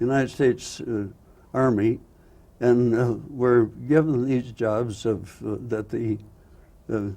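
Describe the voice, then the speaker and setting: Pausing long and often, a man talks at a very slow pace in a dark, mellow tone at medium pitch. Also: fairly even intonation. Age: 80s+. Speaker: photographer and war veteran. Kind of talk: interview answer.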